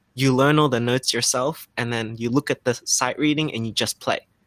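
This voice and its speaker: A man speaks with an Australian accent. His pitch is medium and his intonation fairly even. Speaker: freestyle musician. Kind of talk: interview. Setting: livestream. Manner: halting.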